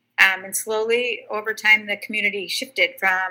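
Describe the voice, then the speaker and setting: Her tone is bright and sharp. The woman speaks at a moderate pace. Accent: Upper Midwest. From southern Wisconsin, Janesville. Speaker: state senator. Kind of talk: interview.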